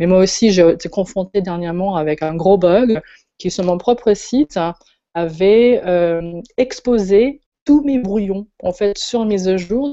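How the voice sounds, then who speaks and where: A woman at medium pitch talks fairly slowly, her pitch varying in an ordinary way. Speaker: web designer and event organizer. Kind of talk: casual chat.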